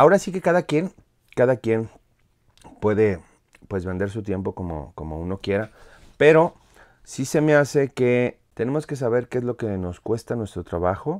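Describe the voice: In a very clean recording with a silent background, a man at medium pitch speaks at a moderate pace with a slightly mellow tone and big pitch swings.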